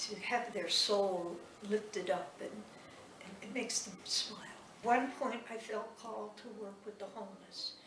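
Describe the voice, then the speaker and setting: Audible room echo and noticeable background noise surround a woman whose voice sits fairly high. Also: fairly even intonation, fairly slow pace, big swings in loudness. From New England. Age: 80s+. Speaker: nun and art teacher. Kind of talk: interview testimony. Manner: halting.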